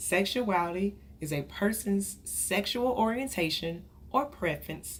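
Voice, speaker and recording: This woman talks at a fairly slow pace. Room echo can be heard around her voice. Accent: American. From Texas, Dallas. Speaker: counselor. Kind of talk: lecture.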